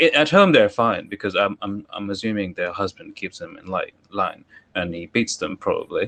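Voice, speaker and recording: A man is speaking here. He has a London accent. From London, England. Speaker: Twitter Spaces participant. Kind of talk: heated debate.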